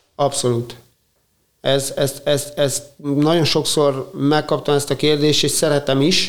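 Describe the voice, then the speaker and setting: Very slowly and with monotone, flat intonation, a man talks in a fairly high voice. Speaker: paediatric surgeon and triathlete. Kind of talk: interview.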